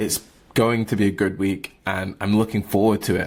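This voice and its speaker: Recorded very cleanly against a silent background, a man talks at a moderate pace. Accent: British. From England. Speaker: barista and entrepreneur vlogger. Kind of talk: casual vlog monologue. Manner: high energy.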